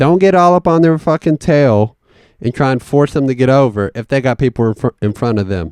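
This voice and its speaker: A man with a Southern US accent speaks at a moderate pace and medium pitch, his voice swinging very widely in pitch, recorded dry and close with no echo against a quiet background. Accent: Southern country accent, growing stronger. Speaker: podcast host. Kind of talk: casual monologue. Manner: animated.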